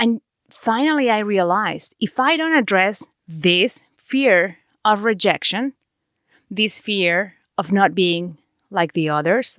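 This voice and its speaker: In a Mexican accent, a woman speaks at a medium pitch with very wide pitch swings, her voice dry and close with no echo on a very clean recording with a silent background. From Mexico. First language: Spanish. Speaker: podcast host. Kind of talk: podcast monologue.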